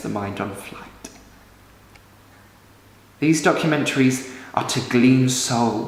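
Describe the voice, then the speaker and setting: Noticeable background noise can be heard. Through it, a man speaks at a medium pitch. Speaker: stage actor. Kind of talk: dramatic monologue.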